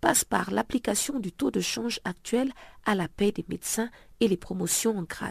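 In a very clean recording with a silent background, a woman speaks at a moderate pace and medium pitch. Her voice has vocal fry and ordinary pitch variation. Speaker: radio news magazine presenter. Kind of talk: news reading. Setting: radio studio.

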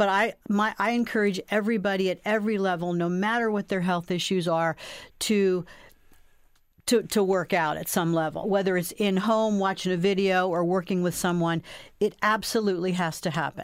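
A plain, everyday voice at a moderate pace, with fairly even intonation and a very clean recording over a silent background. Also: woman, medium pitch for a woman. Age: 60s. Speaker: personal trainer. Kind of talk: interview.

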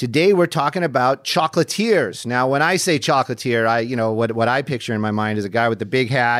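The recording is very clean and the background silent. A man speaks at a moderate speed. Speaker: podcast host; news helicopter reporter. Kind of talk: casual interview. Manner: chatty, rambling, animated.

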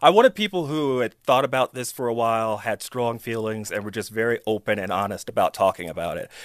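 Speaking at a very fast pace with hardly any pauses, a man with an American accent uses a medium pitch and ordinary pitch variation. The recording is very clean with a silent background, and the sound is dry and close with no echo. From US, Chicago. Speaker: film director. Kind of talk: interview.

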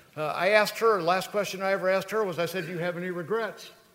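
A man's high-pitched voice is heard against noticeable background noise. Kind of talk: live stage emcee address to banquet crowd. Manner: warm, conversational, hesitant with uh's, proud.

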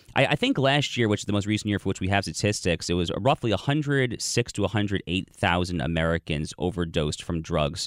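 A man with an unremarkable speaking voice talks at fairly low pitch and a moderate pace, with lively intonation and hardly any pauses. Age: 30s. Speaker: political commentator and editor. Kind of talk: talk radio interview. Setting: studio.

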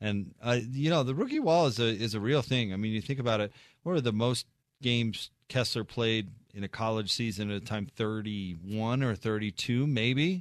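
Against a quiet background, a man talks at a medium pitch with ordinary pitch variation. It is an ordinary speaking voice. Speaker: sports radio host. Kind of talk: live radio postgame show, announcer delivery. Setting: radio studio broadcast. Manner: polished, broadcast-clear, quick sign-offs and score recaps.

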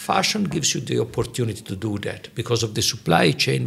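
A man rushes along at a very fast pace with very wide pitch swings over noticeable background noise. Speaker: UN officer and podcast host. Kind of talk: interview chat.

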